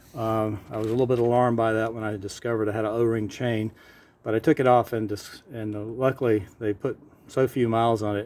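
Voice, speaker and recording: The intonation stays monotone and flat. A man rattles along at a very fast pace. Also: medium pitch for a man. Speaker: vintage motorcycle seller and carburetor specialist. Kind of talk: casual walk-around narration to camera.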